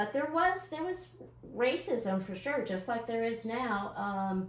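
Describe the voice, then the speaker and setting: This woman's fairly high voice moves at a fairly slow pace. Her pitch swings very widely, and there is noticeable background noise. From Knoxville, East Tennessee (from age ten; early years New York). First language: Hindi. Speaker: city council member. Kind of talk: interview.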